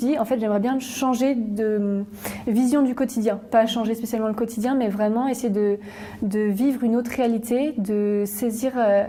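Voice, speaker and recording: Over noticeable background noise, a woman speaks slowly-ish, at a fairly slow pace, with a fairly high pitch and fairly even intonation. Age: 20s. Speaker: student volunteer. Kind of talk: interview testimony. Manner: hesitant, many fillers.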